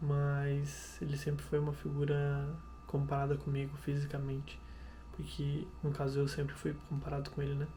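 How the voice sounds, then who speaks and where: A soft-spoken man talks at a moderate pace. Audible room echo and noticeable background noise surround his voice. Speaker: vlogger. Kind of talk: casual vlog monologue. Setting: home kitchen at night. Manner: halting.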